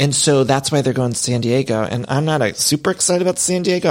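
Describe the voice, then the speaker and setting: A man with a Cleveland accent talks at a very fast pace. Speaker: podcast host, pop culture commentator. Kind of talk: casual monologue. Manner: animated.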